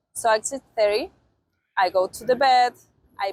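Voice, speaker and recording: A woman with a fairly high pitch speaks at a fairly slow pace with ordinary pitch variation. The sound is dry and close, with no echo. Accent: Spanish. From Argentina. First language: Spanish. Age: 20s. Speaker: au pair. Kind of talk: interview testimonial. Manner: halting, many fillers.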